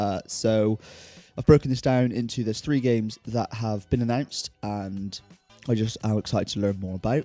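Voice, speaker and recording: A man's medium-pitched voice at a moderate pace, with music in the background. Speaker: gaming YouTuber. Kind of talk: casual talk to camera.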